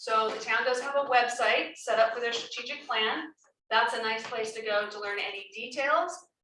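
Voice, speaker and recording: In a room with audible echo, a woman with a fairly high voice and a bright, sharp tone talks at a moderate pace with ordinary pitch variation and big swings in loudness. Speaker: professional facilitator. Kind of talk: public meeting facilitation. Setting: community meeting room, recorded on Zoom.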